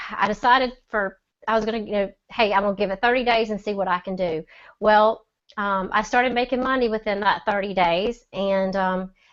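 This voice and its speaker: Speaking with a Southern US accent, a woman uses a medium pitch and fairly even intonation. The background is quiet. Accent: Southern drawl. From US South, Mississippi. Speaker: online seller. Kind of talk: testimony. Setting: video call.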